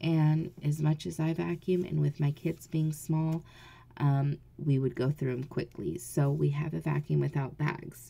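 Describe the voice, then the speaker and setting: In a quiet, very deep, low voice with an American accent, a woman speaks fairly slowly, somewhat breathy and dark and mellow in tone, with fairly even intonation. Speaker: mom vlogger. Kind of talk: casual vlog. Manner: speaking low, quiet; hesitant, many fillers.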